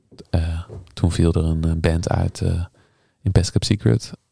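The voice is somewhat breathy with a dark, mellow tone, moving at a moderate pace in a dry, close sound with no echo. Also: man. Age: 30s. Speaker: harpist and composer. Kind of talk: casual interview.

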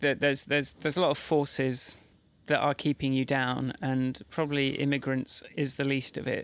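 A man's fairly high, monotone, flat voice in an English accent at a moderate pace, in a very clean recording with a silent background. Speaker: podcast co-host. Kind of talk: casual chat.

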